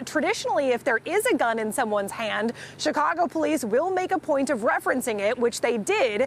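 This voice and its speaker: The voice moves at a fairly quick pace with very wide pitch swings and very even loudness. Noticeable background noise is present. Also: woman. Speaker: field news reporter. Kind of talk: news reporting, live report. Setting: outdoors, live outside police headquarters. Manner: formal, steady, newsreader delivery.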